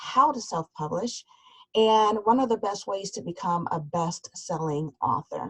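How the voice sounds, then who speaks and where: With an American accent, a woman speaks somewhat breathily at a fairly slow pace, her intonation lively and the sound dry and close with no echo. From US Midwest, suburb of Cleveland, Ohio. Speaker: business coach and author. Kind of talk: webinar presentation. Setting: online webinar.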